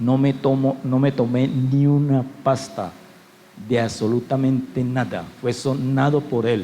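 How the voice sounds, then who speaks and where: A man talks at a medium pitch and a fairly slow pace. Audible room echo surrounds his voice. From Colombia, Cali. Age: 60s. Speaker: pastor. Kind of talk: sermon.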